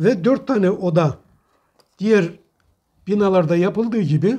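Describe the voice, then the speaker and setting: Dark and mellow in tone, the voice moves at a fairly slow pace with ordinary pitch variation. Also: man, quiet background. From Trabzon, Turkey; Turkey. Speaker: retired imam and model house maker; retired imam. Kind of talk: interview. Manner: formal. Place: home room. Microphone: lapel.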